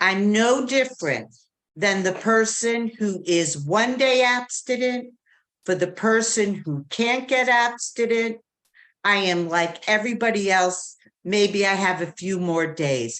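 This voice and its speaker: A woman's medium-pitched voice at a very slow pace, with ordinary pitch variation. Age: 60s. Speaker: twelve-step meeting speaker. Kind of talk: testimony. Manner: animated.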